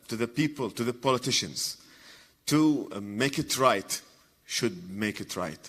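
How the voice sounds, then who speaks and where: At a fairly slow pace and with an Iraqi accent, the speech has ordinary pitch variation on a very clean recording with a silent background. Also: man. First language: Arabic. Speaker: comedian and journalist. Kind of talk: conference talk. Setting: stage with audience. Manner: halting.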